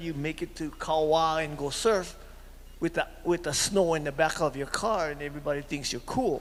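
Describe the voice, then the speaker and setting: A man speaks with a Hawaiian accent. His pace is moderate. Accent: Hawaiian local English. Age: 70s. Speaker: community meeting participant. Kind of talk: public comment at community meeting. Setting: community center meeting. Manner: halting.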